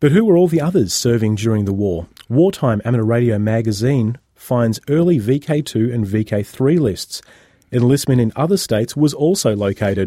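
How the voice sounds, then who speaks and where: With an Australian accent, a man speaks at a medium pitch with lively intonation. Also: moderate pace. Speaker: radio host. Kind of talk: casual chat.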